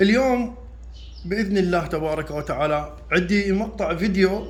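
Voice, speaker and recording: A man with a high pitch and lively intonation, speaking fairly slowly amid audible room echo. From Iraq. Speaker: carpenter and how-to video maker. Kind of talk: tutorial. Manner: halting, with repeated restarts.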